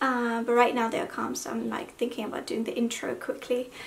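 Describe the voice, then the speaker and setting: A woman talks in a high pitch while noticeable background noise can be heard. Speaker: hijab fashion vlogger. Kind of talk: haul video chat. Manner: subdued, talking slowly.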